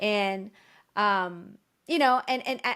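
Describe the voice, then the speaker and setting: A woman's voice at medium pitch. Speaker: ring announcer. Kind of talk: interview answer. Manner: energetic, enthusiastic.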